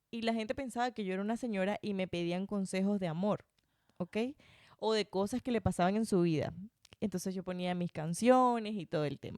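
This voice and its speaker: A woman speaks in a normal speaking voice at medium pitch with ordinary pitch variation, recorded in a dry, close sound with no echo. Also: fairly quick pace. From Venezuela, Barinas (llanos). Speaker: podcaster and former radio host. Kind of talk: casual interview chat. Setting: home recording.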